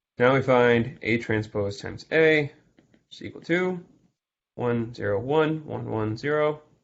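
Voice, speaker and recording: With an unremarkable speaking voice, a man talks at a medium pitch and a fairly slow pace, using ordinary pitch variation and big swings in loudness. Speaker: math tutor. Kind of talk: exam review lecture. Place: home room. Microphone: video call.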